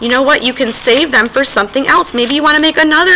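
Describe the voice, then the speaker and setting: Over noticeable background noise, a woman calls out in a raised, projected voice at a high pitch. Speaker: elementary art teacher. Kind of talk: tutorial. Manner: fast.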